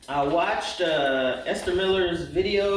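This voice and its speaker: There is audible room echo and noticeable background noise as a man speaks in a high pitch. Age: 60s. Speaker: quilting vlogger. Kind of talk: unboxing tutorial. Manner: casual, chatty.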